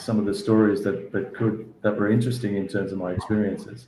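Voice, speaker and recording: A man with an Australian accent, fairly low pitch and moderate pace, in audible room echo. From Australia, Sydney northern beaches. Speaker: sports federation executive. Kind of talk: interview. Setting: video call. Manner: halting, many repeated words.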